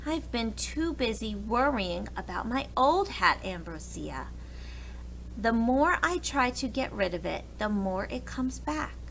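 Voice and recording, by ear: A woman's put-on character voice, fairly high in pitch, with vocal fry, big pitch swings and a fairly slow pace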